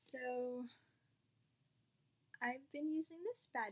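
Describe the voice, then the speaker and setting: A high-pitched female voice over light background noise. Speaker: beauty vlogger. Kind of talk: makeup tutorial. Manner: casual, chatty. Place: home room. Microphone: webcam.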